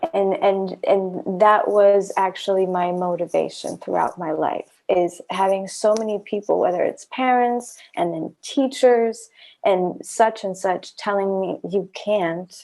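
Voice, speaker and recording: A woman with a non-native accent speaks at a fairly slow pace and medium pitch, using ordinary pitch variation. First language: not English. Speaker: podcast host. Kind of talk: casual chat.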